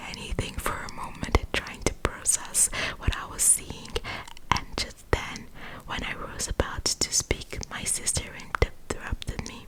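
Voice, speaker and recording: Whispering, a woman speaks at a very slow pace. There is noticeable background noise. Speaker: ASMR creator. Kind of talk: scary story reading, ASMR. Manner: whispered, soft.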